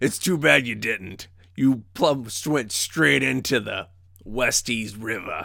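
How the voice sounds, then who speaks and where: A man puts on a character voice that is gravelly and raspy. He speaks at a fairly slow pace. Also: medium pitch for a man. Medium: actual play. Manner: gruff, teasing.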